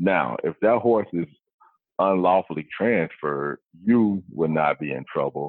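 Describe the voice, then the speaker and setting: In a Mississippi accent, a man speaks with a very deep, low pitch. His pace is fairly slow and his intonation lively. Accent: Southern US (Mississippi). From US South, Vicksburg, Mississippi. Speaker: wild horse program specialist, navy veteran. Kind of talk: interview.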